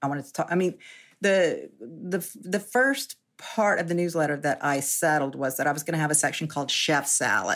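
Speaking at a moderate pace, a woman with a very deep, low pitch keeps her loudness very even and her pitch variation ordinary, on a very clean recording with a silent background. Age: 60s. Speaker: journalist and food writer. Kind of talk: interview conversation. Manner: halting.

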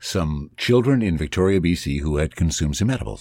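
On a very clean recording with a silent background, a man with a very deep, low voice speaks at a fairly quick pace with lively intonation. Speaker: podcaster and voiceover artist. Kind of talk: casual interview. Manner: polished broadcaster delivery.

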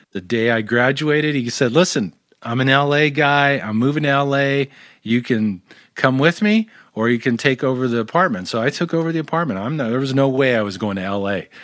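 With an American accent, a man speaks at a medium pitch and a fairly quick pace with lively intonation. The recording is very clean with a silent background. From Southern California (Orange County). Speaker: sound healing practitioner. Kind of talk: interview conversation.

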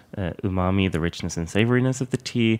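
In a very clean recording with a silent background, a man with a very deep, low pitch talks fairly quickly, his pitch varying in an ordinary way. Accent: Swedish. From southern Sweden. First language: Swedish. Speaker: Japanese tea instructor. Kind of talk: interview conversation. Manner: hesitant, many fillers.

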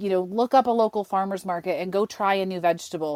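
An unremarkable speaking voice from a woman with an American accent, medium in pitch with ordinary pitch variation, at a fairly quick pace, dry and close with no echo on a very clean recording with a silent background. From Western New York. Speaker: cookbook author. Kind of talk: interview.

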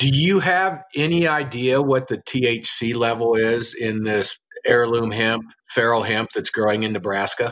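The delivery, in an American accent, is fairly slow with ordinary pitch variation. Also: man, medium pitch for a man. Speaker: podcast host. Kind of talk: casual chat. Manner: animated.

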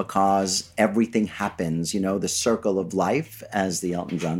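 At a moderate pace, a man with an unremarkable speaking voice and an American accent talks at a fairly low pitch with ordinary pitch variation in a very clean recording, silent background. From New York City (Flushing, Queens). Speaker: PR agency founder. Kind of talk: casual interview. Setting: studio.

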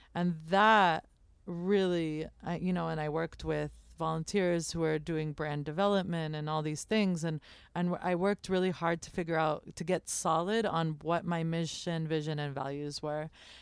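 An American-accented woman uses an ordinary speaking voice, fairly low in pitch, at a moderate pace. Her intonation is fairly even, and the recording is very clean with a silent background. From United States. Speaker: chef and bakery owner. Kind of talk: interview. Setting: live broadcast from a trailer at a food festival.

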